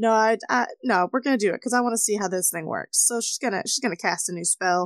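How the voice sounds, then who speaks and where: A woman talks at a fairly quick pace with ordinary pitch variation, and the sound is dry and close with no echo. She has a plain, everyday voice. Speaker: tabletop player. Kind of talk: tabletop roleplaying game session.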